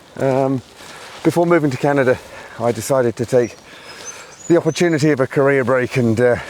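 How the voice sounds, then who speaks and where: A man's medium-pitched voice at a fairly quick pace, with fairly even intonation, long, frequent pauses and noticeable background noise. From England, Birmingham. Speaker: fitness event organiser. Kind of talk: podcast interview.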